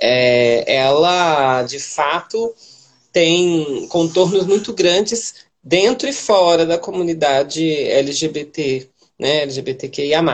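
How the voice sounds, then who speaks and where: A woman's fairly low voice with lively intonation at a very slow pace. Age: 20s. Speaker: city councillor and activist. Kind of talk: livestream interview.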